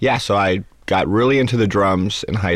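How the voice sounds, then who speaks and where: A man speaks with an American accent. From Los Angeles, California. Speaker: Broadway pit drummer. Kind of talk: interview. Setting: studio.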